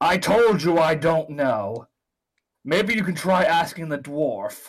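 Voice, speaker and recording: Taking on a put-on character voice, a man speaks fairly slowly at a high pitch. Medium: actual play. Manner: blunt, scornful.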